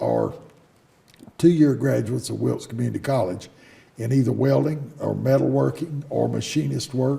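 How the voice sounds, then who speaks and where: At a moderate pace, a man talks with a North Carolina accent. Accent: Southern US (North Carolina). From US South (North Carolina, Davidson County). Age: 70s. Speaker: business owner. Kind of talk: interview. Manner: halting, frequent fillers.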